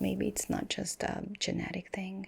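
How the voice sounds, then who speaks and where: A woman whispers at a moderate pace in a gentle, calm tone. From Hungary. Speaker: ASMR artist. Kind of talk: medical roleplay ASMR. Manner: soft-spoken, gentle, calm.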